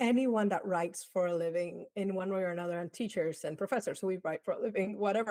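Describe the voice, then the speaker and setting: On a very clean recording with a silent background, a woman with a slight Dominican accent speaks fairly quickly at a medium pitch with fairly even intonation. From Dominican Republic. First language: Spanish. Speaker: advertising professor. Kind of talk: interview.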